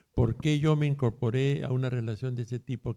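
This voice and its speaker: A man speaks at a medium pitch and moderate pace, his dark, mellow tone and fairly even intonation heard in a dry, close sound with no echo. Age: 60s. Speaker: therapist. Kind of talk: interview.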